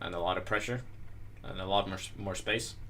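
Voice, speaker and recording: A man's mumbling voice with a bright, sharp tone and ordinary pitch variation. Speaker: chess master presenting a video series. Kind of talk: chess analysis tutorial. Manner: hesitant, many fillers.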